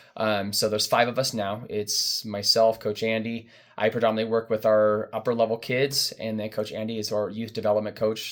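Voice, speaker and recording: A man's monotone, flat intonation at a fairly quick pace on a very clean recording with a silent background. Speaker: youth running coach. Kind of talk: informational parent briefing. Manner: fast.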